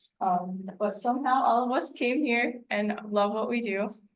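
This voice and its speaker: Audible room echo around a woman's voice, medium in pitch, with ordinary pitch variation. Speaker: meteorologist. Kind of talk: presentation. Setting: meeting room with audience. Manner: hesitant, many fillers.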